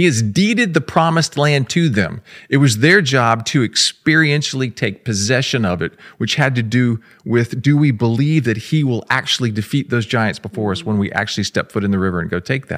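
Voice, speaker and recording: A man with an American accent and medium pitch speaks at a fairly quick pace with lively intonation, the sound dry and close with no echo. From Florida, Jacksonville. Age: 50s. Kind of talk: casual chat. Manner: pauses before answering.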